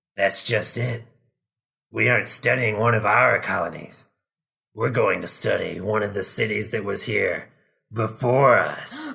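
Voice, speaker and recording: This man uses a raspy, put-on character voice at a medium pitch. He talks at a moderate pace with long, frequent pauses. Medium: read story. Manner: serious, measured.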